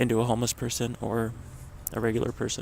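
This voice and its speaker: A man talks at a fairly quick pace. His medium-pitched voice carries vocal fry. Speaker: vlogger. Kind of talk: casual vlog monologue. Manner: halting, many fillers.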